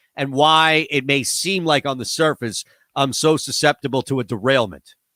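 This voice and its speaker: In a very clean recording with a silent background and a dry, close sound with no echo, a man speaks loudly at a medium pitch with a bright, sharp tone. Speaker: radio host. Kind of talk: casual chat. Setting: home studio.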